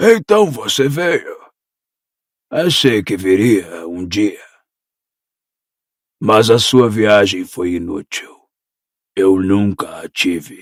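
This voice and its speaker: A put-on character voice from a man, raspy and fairly low, with lively intonation, a very slow pace and long, frequent pauses. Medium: audio drama.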